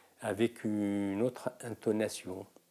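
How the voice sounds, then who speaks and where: A man's dark, mellow voice, fairly low in pitch, at a very slow pace. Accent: Moroccan. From Morocco. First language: Moroccan Arabic (speaking French). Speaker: singer and mime performer. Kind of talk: interview testimony. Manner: halting, many hesitations.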